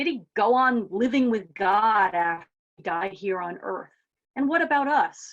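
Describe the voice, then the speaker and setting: With an ordinary speaking voice, a woman talks at a fairly slow pace, her fairly high pitch carrying lively intonation. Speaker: minister, preacher. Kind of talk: sermon, live church service.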